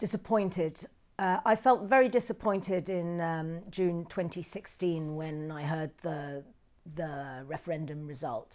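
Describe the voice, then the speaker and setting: Against a silent background in a very clean recording, a woman with a London accent speaks fairly slowly at a fairly low pitch, her intonation lively and her loudness swinging widely. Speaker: documentary filmmaker. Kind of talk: interview answer. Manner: hesitant, thoughtful.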